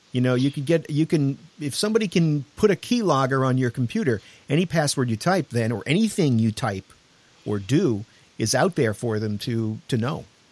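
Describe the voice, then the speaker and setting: Pitch swings very widely as the speaker keeps a moderate pace. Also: man, medium pitch for a man. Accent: American. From New York. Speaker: talk radio host. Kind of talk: casual chat. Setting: studio.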